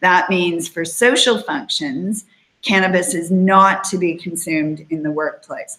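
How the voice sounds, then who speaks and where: A woman speaks at a fairly slow pace with ordinary pitch variation and a bright, sharp tone. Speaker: employment lawyer hosting a webinar. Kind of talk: informational webinar talk. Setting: online broadcast.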